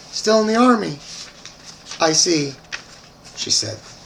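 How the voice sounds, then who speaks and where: Noticeable background noise fills the clip. A man speaks fairly slowly over it. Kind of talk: short story reading.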